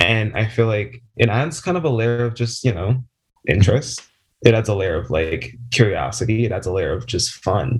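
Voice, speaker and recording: Speaking with an American accent, a man uses lively intonation at a medium pitch and a moderate pace, sounding somewhat breathy. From South Jersey, US. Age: 20s. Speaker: pet play community member. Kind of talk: interview.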